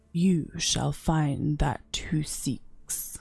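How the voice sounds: This put-on character voice sits at a middle pitch and sounds raspy.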